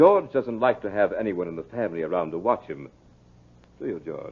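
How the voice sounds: In a put-on character voice, a man speaks low with a slightly husky edge. His pace is fairly quick and his intonation lively.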